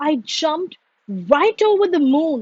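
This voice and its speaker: In a put-on character voice, the speaker goes at a fairly slow pace. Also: woman. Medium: read story.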